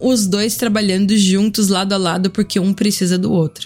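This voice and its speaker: The woman's voice is somewhat breathy and medium in pitch. She keeps a moderate pace. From Brazil, Sorocaba (São Paulo state). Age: 30s. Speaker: podcast host and cachaça importer. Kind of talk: casual monologue.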